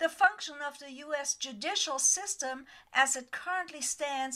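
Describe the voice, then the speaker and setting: Raising and projecting her voice, a woman speaks at a fairly slow pace in a high pitch, her tone bright and sharp and her intonation lively. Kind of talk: political commentary voice-over.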